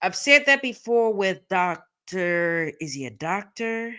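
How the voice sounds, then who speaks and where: In a very clean recording with a silent background, a woman talks with very wide pitch swings. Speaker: legal commentary streamer. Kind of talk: live stream commentary. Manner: slow, drawn-out words; hesitant, many fillers.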